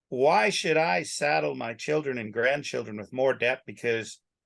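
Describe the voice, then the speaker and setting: At medium pitch, a man speaks with vocal fry and very wide pitch swings. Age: 60s. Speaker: rancher. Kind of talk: casual chat.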